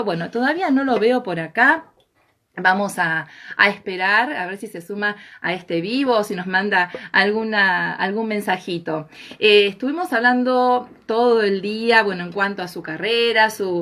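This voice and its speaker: A woman speaks at a fairly slow pace, her loudness swinging widely. Her tone is bright and sharp, with ordinary pitch variation. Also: medium pitch for a woman. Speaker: live stream host. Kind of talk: live stream introduction.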